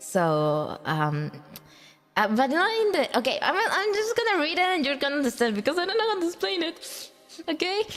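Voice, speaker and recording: Woman's extremely high voice with very wide pitch swings and very even loudness, a non-native accent, a moderate pace, and noticeable background noise. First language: Spanish. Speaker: vtuber streamer. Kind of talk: casual livestream chat. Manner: halting.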